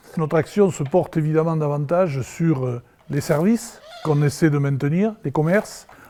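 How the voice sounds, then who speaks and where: Over noticeable background noise, a man talks at a moderate pace with a fairly high pitch and ordinary pitch variation. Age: 60s. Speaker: village mayor. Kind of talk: interview, promotional speech.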